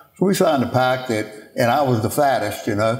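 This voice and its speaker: This is a man's voice. He speaks with a Louisiana accent. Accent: Louisiana Southern US. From Louisiana, Baton Rouge. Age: 70s. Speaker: former football player and restaurant owner. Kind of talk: interview. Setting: at a home with animals in background.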